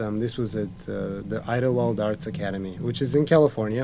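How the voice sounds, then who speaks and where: This man talks at a fairly quick pace with a dark, mellow tone. His Bulgarian accent comes through, and his pitch varies in an ordinary way. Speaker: violin teacher, head of strings at a conservatory. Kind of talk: interview.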